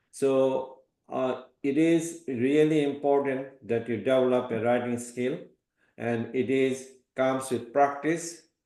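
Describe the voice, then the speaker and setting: A man's dark, mellow, medium-pitched voice at a very slow pace, fairly even in intonation, with audible room echo. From Bangladesh. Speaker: professor. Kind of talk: lecture.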